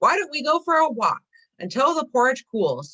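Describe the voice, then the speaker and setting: A put-on character voice speaks at a high pitch. The pace is moderate. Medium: read story.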